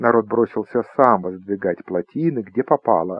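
A man is speaking. His intonation is lively. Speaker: audiobook narrator. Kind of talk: audiobook reading of a humorous short story, narrated with an ironic, storytelling tone.

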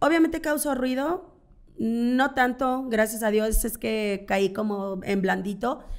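Very slow delivery with lively intonation over a quiet background. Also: woman, fairly high pitch for a woman. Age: 40s. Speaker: content creator and swinger party organizer; content creator. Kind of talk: casual interview. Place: studio. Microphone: studio mic.

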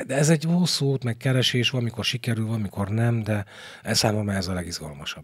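Against a quiet background, a man speaks very fast in a somewhat breathy voice with lively intonation. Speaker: stage actor; stage actor, podcast guest. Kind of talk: interview; interview answer. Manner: halting. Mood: thoughtful, animated. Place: studio. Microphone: studio mic.

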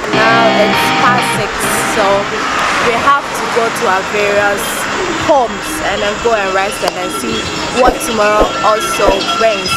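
Music plays in the background as the speaker keeps a moderate pace. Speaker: vlogger. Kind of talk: casual vlog chat. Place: street. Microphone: phone near.

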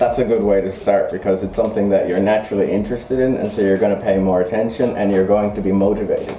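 In a New York accent, a man speaks at a very fast pace with hardly any pauses, at a fairly low pitch and in a monotone, flat intonation. There is light background noise and audible room echo. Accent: New York American English. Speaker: English teacher. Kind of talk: casual interview. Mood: relaxed, friendly. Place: classroom.

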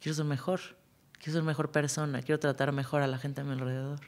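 A woman with a very deep, low pitch speaks at a fairly quick pace. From Mexico City. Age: 40s. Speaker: music supervisor; podcast guest. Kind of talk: casual chat. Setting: studio. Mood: warm, lively, reflective. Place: studio. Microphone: studio mic.

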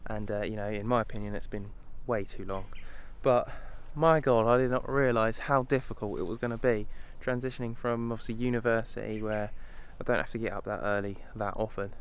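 At a fairly quick pace, a man talks with ordinary pitch variation in a dry sound with no echo. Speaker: wildlife photography vlogger. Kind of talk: casual vlog chat. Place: open country. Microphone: phone near.

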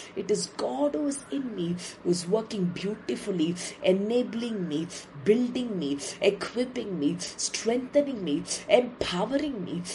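A woman's intense, medium-pitched voice at a fairly slow pace, with very wide pitch swings amid noticeable background noise. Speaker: preacher. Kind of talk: fervent declaratory prayer, repeated scripture affirmations with speaking in tongues. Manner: intense, rhythmic repetition of declarations.

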